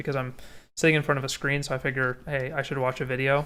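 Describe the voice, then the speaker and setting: A man speaks in a relaxed tone. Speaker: streamer and 3D hobbyist; streamer. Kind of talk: casual livestream chat. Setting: livestream on camera. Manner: halting, with repeated words. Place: home room.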